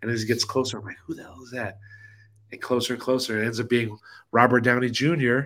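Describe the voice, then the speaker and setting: An ordinary speaking voice with an American accent moves at a fairly quick pace with fairly even intonation. The recording is very clean, with a silent background. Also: man. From Los Angeles, US. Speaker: DJ and video DJ. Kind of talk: casual chat.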